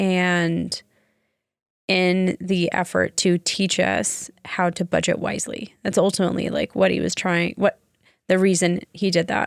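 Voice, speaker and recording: A woman speaks in a normal speaking voice at a medium pitch and a fairly slow pace, with fairly even intonation, on a very clean recording with a silent background and a dry, close sound with no echo. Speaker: podcast co-host.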